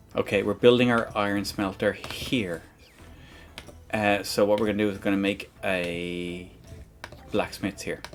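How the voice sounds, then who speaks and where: A man with an Irish accent, a fairly low pitch and monotone, flat intonation, at a moderate pace with long, frequent pauses and music in the background. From Ireland. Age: 40s. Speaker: game streamer. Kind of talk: casual chat. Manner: halting.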